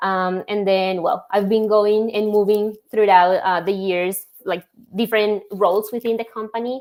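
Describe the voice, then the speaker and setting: A woman speaks with a Spanish accent at a moderate pace. Her pitch is medium and her intonation fairly even. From Colombia. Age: young. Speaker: logistics software executive. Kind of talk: interview.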